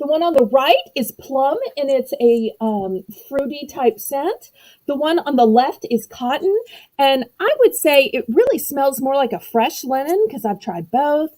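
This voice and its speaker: A woman at a high pitch, with a dark, mellow tone, very wide pitch swings and a fairly slow pace. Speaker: livestream seller. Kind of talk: live auction sales pitch.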